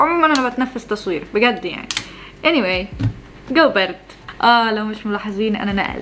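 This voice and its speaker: Noticeable background noise surrounds a woman speaking at a moderate pace. Her voice is fairly high, with lively intonation. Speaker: vlogger. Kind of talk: casual vlog talk to camera. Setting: at home early morning. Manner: rambling, self-interrupting; loud for early morning.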